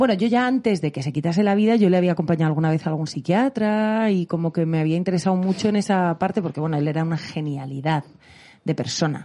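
A woman talks at a very fast pace with a fairly low pitch. The background is quiet. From Spain. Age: 30s. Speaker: singer and voice actress. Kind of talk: casual chat.

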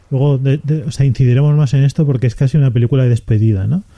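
A man with a medium-pitched, somewhat breathy voice and a dark, mellow tone talks with fairly even intonation in a dry, close sound with no echo. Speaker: film podcast host. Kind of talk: casual chat.

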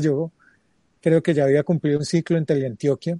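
The voice has a dark, mellow tone and fairly even intonation, heard in a dry, close sound with no echo. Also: man. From Colombia, Pereira. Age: 40s. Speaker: TV journalist. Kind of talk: interview.

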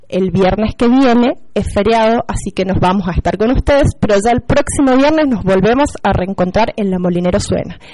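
Fairly high female pitch, a dark, mellow tone, ordinary pitch variation and a moderate pace. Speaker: schoolteacher. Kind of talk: school radio presenting. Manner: hesitant with fillers. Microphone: microphone problem.

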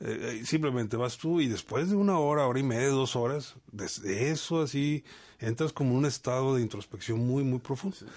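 The pitch moves in an ordinary way at a moderate pace. The background is quiet. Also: man, medium pitch for a man. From Mexico, Monterrey and Veracruz. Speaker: university academic director. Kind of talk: casual interview. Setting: radio studio. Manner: halting, repeats words.

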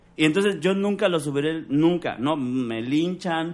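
A man with a Mexican accent speaks in a fairly high pitch with ordinary variation against a quiet background. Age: 40s. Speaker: stand-up comedian and actor. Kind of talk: casual chat.

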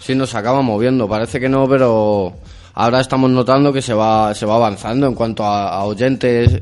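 At a moderate pace, a man talks in an unremarkable speaking voice, medium in pitch, with fairly even intonation. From Madrid, Spain (Vallecas). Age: 20s. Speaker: rap radio show host. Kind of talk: casual interview chat.

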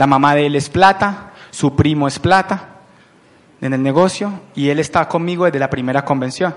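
Noticeable background noise sits under a man's voice. He has a fairly high pitch, a moderate pace and ordinary pitch variation. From Colombia, Palmira (Valle del Cauca). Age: 30s. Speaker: business owner presenting to recruits. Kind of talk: motivational business presentation. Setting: event with live audience. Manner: animated.

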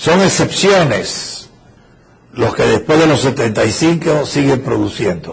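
This man talks very slowly at a fairly high pitch, with lively intonation and very even loudness. There is audible room echo and noticeable background noise. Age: old. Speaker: professor. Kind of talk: lecture.

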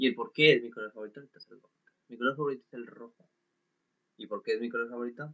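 Delivered with a Mexican accent, the speech runs at a very fast pace with long, frequent pauses, big swings in loudness and fairly even intonation. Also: man, medium pitch for a man. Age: 20s. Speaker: podcaster. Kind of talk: casual monologue. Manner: halting.

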